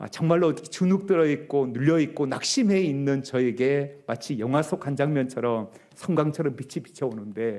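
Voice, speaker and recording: A man's fairly high-pitched voice with a dark, mellow tone, at a moderate pace with hardly any pauses. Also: ordinary pitch variation. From rural Korea, non-Seoul dialect region. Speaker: pastor. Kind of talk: sermon. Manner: frequent filler hesitations.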